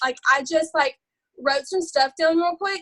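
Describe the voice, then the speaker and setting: A loud, bright, sharp voice with an Alabama accent, lively intonation and a fairly quick pace. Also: woman. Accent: Southern US, Alabama. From US South, Alabama. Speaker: network marketing distributor. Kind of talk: live video call training. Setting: video call. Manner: animated.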